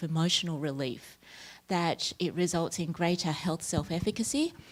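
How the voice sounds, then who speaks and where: Very clean, silent-background audio of an Australian accent. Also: woman. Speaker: academic researcher. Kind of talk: conference talk. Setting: workshop room with audience.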